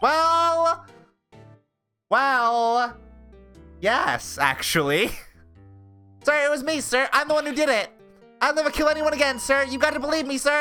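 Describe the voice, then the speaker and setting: A nasal, high-pitched female-sounding put-on character voice at a moderate pace, with long, frequent pauses and faint music in the background. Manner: meek, deferential.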